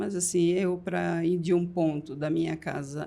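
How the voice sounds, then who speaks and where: Speaking at a fairly low pitch, a woman has a dark, mellow tone with vocal fry. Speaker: pharmacy franchise owner. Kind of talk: podcast interview.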